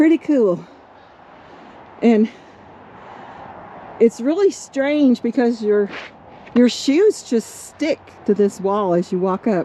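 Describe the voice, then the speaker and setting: Noticeable background noise sits behind a woman's fairly high voice. She speaks very slowly with lively intonation and long, frequent pauses. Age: 60s. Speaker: RV travel vlogger. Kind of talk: casual chat.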